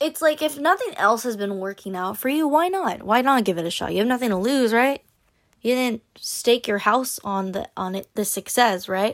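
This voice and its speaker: Using a normal speaking voice, a woman speaks at a moderate pace and fairly high pitch with lively intonation. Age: 20s. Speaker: solo podcast host. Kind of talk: casual solo podcast monologue; encouraging pep talk urging listeners to try dating apps. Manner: chatty with frequent laughs and fillers; upbeat, coaxing and direct, addressing listener as a friend.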